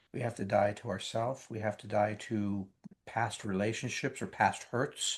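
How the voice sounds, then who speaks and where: Over a quiet background, a man with a somewhat breathy voice and medium pitch speaks at a fairly slow pace. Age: 70s. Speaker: thriller author. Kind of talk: interview. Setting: late at night. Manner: halting.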